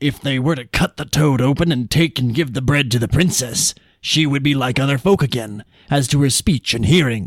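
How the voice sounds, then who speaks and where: Putting on a character voice, a man with a raspy, medium-pitched sound speaks at a moderate pace. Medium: read story.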